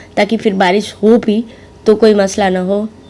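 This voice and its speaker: A woman speaks in a medium pitch with monotone, flat intonation against noticeable background noise. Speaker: vlogger and mother. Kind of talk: vlog voiceover. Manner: halting with fillers.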